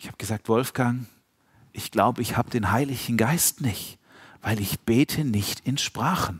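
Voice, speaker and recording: An animated tone comes through at a moderate pace on a very clean recording with a silent background. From Swabia, Germany. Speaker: preacher. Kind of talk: sermon.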